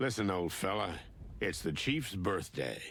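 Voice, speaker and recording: A man uses a raspy, fairly low put-on character voice at a moderate pace. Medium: video game. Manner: gruff, deadpan.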